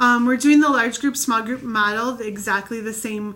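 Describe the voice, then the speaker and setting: There is noticeable background noise as a woman with a fairly high pitch talks with fairly even intonation. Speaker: children's ministry leader. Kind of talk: training video. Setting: recorded video. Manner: fast.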